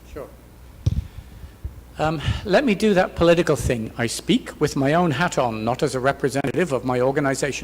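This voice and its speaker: In an English accent, the speaker moves at a fairly quick pace with ordinary pitch variation and long, frequent pauses. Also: man, fairly high pitch for a man. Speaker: professor and keynote speaker. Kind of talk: Q&A answer at academic conference. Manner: hesitant, many fillers.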